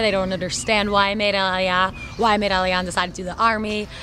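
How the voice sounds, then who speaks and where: Fairly quick speech with an American accent, noticeable background noise and audible room echo. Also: woman. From New York. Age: 20s. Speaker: soldier, shooting instructor. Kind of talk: personal testimony interview.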